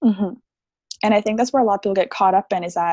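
Against a quiet background, a woman speaks with fairly even intonation in a dry, close sound with no echo. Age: 20s. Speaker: theta healing practitioner and meditation coach. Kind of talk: interview conversation.

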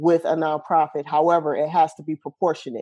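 A woman's fairly low-pitched, dark, mellow voice with an American accent, against a quiet background. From US Midwest (Champaign, Illinois). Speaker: nonprofit founder. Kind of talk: interview.

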